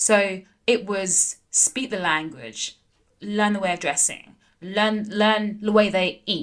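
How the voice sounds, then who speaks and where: A woman with a London accent speaks at a medium pitch. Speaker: entrepreneur, former pro tennis player. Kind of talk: casual interview. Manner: animated, lots of fillers.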